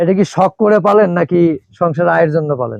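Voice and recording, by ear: With a fairly high pitch and vocal fry, a man speaks at a moderate pace with lively intonation and a slightly mellow tone, recorded dry and close with no echo.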